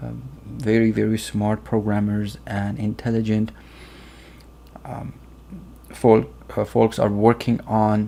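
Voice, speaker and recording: With a Persian accent, a man speaks very slowly in a fairly low, dark, mellow voice, with ordinary pitch variation, big swings in loudness and long, frequent pauses. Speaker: software tutorial youtuber. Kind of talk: tutorial. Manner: hesitant, many fillers.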